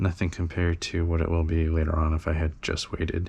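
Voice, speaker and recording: Somewhat breathy, a man talks at a moderate pace in a very deep, low pitch. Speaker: toy collector youtuber. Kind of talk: casual chat. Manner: rambling with many fillers. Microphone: head-mounted camera mic close to mouth and nose.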